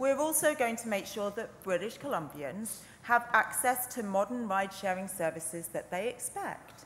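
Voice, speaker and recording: A woman's lively intonation at a moderate pace, with hardly any pauses and light background noise. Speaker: legislator in debate. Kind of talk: parliamentary speech. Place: hall. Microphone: podium.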